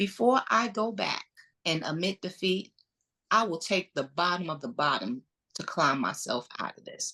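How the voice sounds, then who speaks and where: A woman speaks with a strong Brooklyn accent, an animated tone and some vocal fry. Her tone is bright and sharp, and her pace is moderate. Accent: Brooklyn accent, heavy. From New York, Brooklyn. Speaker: entrepreneur, realtor and interior designer. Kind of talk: podcast interview, personal story. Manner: animated storytelling.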